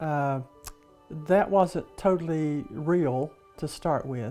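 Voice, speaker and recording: Music plays in the background. A woman speaks at a very deep, low pitch. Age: 80s. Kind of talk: documentary interview answer.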